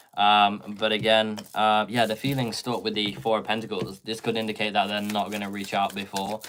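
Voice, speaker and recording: The speaker talks at a moderate pace with a Swedish accent. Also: man. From Sweden. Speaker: tarot reader. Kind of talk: live tarot reading Q&A. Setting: live stream.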